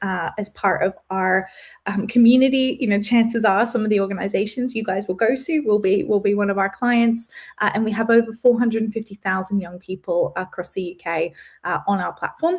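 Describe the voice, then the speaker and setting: With an Australian accent, a woman talks at a fairly quick pace in a fairly high, somewhat breathy voice. Her pitch varies in an ordinary way over a quiet background. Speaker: webinar presenter. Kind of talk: webinar presentation. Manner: fast.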